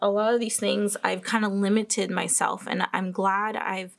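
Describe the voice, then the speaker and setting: The recording is very clean, its background silent. A woman talks fairly slowly. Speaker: planner and journaling youtuber. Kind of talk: casual show-and-tell vlog.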